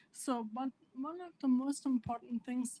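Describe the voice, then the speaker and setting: A woman with a non-native accent speaks in a dark, mellow tone that is somewhat breathy, recorded with a dry, close sound and no echo. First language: not English. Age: 50s. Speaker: assistant professor living with PLS. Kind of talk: speech to an audience. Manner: halting, with self-corrections.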